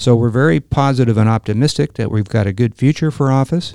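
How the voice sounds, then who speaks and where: A man with a Californian accent talks at a moderate pace in a dark, mellow tone with ordinary pitch variation. The sound is dry and close with no echo, over a quiet background. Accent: Californian American. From Los Angeles. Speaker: real estate developer and Marine veteran. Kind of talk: interview.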